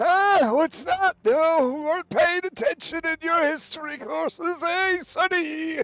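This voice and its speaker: A put-on character voice, strained and shaky at an extremely high pitch, moves at a fairly slow pace with hardly any pauses. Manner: scolding.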